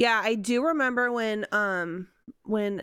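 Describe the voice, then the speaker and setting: Her pitch rises and falls in an ordinary way as the woman speaks. The background is silent and the recording very clean. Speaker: special education teacher. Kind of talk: casual chat.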